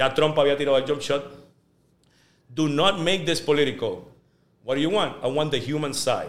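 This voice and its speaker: At a moderate pace broken by long, frequent pauses, a man with a fairly high pitch speaks with fairly even intonation. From Puerto Rico, Guaynabo. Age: 30s. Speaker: sports journalist. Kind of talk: casual interview.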